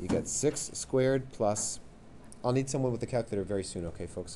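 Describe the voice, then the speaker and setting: A man at a very fast pace, with a dark, mellow tone, lively intonation and audible room echo. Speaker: math teacher. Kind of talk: classroom lesson. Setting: classroom with students.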